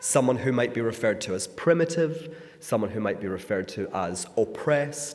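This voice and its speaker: Speaking at a moderate pace with a Scottish accent, a man lets his pitch swing very widely amid audible room echo and noticeable background noise. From Scotland. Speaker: author and speaker. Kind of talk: talk to a congregation. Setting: synagogue.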